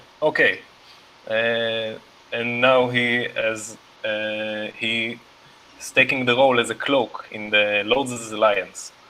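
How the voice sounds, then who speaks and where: With a non-native accent, the man speaks at a very slow pace with long, frequent pauses and a medium pitch. His intonation is monotone, flat, over noticeable background noise. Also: big swings in loudness. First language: not English. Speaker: tabletop game player. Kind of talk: character introduction in casual game chat.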